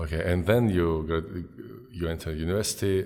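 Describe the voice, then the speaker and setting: A man's very deep, low voice with a Georgian accent, fairly quick in pace and ordinary in pitch variation. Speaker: podcast host, professor. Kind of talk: casual interview conversation.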